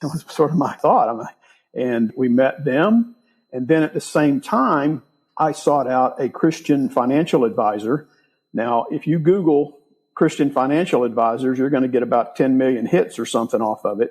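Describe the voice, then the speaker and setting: A plain, everyday voice from a man, fairly high-pitched, at a moderate pace over a quiet background. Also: ordinary pitch variation. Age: 60s. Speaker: real estate investor. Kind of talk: interview.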